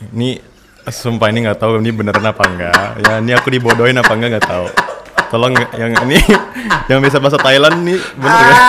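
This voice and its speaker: Loud background noise accompanies a man speaking at a very fast pace. His pitch varies in an ordinary way. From Indonesia (Sumatra). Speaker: content creator, language learner; content creator. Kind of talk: casual chat. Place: studio. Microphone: studio mic.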